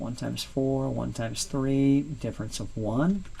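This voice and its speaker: A man at a fairly slow pace, amid audible room echo and noticeable background noise. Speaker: math teacher. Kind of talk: lecture.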